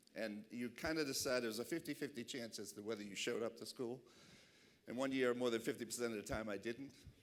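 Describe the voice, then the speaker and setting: Very fast speech with a Boston accent. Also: man, medium pitch for a man, ordinary pitch variation. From Boston, Massachusetts. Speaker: keynote speaker. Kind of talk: keynote speech. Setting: awards dinner stage with audience.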